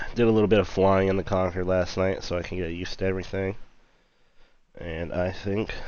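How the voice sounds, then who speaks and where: A quiet man with a very deep, low voice at a fairly quick pace. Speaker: flight sim streamer. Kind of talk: casual live stream commentary. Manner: casual, animated; quiet, subdued.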